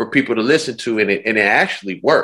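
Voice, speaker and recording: The man's voice has a bright, sharp tone. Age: 40s. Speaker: music producer. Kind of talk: casual interview. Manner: laid-back slangy.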